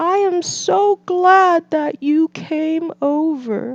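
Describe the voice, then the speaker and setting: The put-on character voice moves at a very slow pace. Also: woman, extremely high pitch for a woman. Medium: read story.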